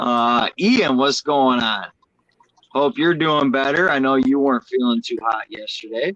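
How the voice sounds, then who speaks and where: Heard with a dry, close sound and no echo, a man with a fairly high pitch speaks at a fairly slow pace with ordinary pitch variation. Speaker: fishkeeping livestream host. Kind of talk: casual chat. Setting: livestream. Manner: loud.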